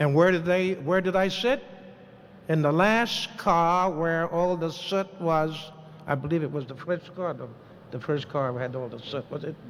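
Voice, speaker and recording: This man speaks in a high pitch with an American accent. His pitch variation is ordinary. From New York City. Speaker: war veteran. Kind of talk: testimony.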